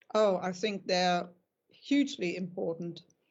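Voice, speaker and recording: A woman speaks with a German accent. Her pace is fairly slow and her intonation fairly even. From Germany. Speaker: dog breeder. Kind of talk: interview.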